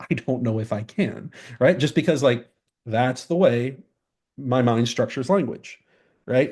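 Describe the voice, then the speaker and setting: A man with an American accent and medium pitch speaks at a moderate pace with ordinary pitch variation over a quiet background. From English-speaking country. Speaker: philosophy professor. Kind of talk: interview. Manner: halting, many fillers and repeats.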